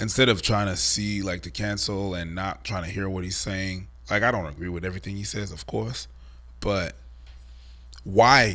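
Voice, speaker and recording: With a very deep, low pitch and vocal fry, a man speaks at a moderate pace in a bright, sharp tone, his pitch varying in an ordinary way, his loudness swinging widely, and the room echoing audibly. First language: not English. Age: 40s. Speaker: online commentator. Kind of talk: casual chat. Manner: halting.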